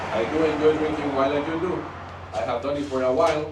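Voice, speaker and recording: A man's fairly high voice in a strong Mexican accent, animated and fairly quick, with ordinary pitch variation, audible room echo and noticeable background noise. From Mexico. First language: Spanish. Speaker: wine train tour manager. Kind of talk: tour guide address to group. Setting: on a train with passengers. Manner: animated, addressing audience.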